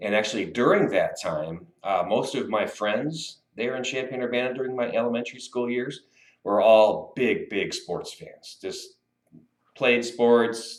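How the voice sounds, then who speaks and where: A man talks in a US Midwestern accent. His pace is fairly slow. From US Midwest (Illinois and Iowa City). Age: 50s. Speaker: sportswriter. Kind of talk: interview. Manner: casual, hesitant with fillers.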